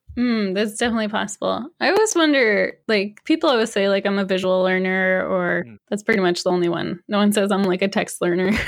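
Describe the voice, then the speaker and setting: A woman with an American accent uses an ordinary speaking voice at a medium pitch, with ordinary pitch variation, speaking at a fairly quick pace with hardly any pauses. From Massachusetts. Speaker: frontend and UX developer, author. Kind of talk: casual interview chat.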